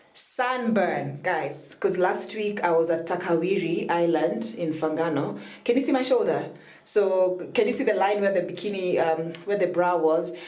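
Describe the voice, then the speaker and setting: Noticeable background noise and audible room echo fill the clip. In it, a woman talks with a fairly low voice. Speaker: vlogger. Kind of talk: casual vlog.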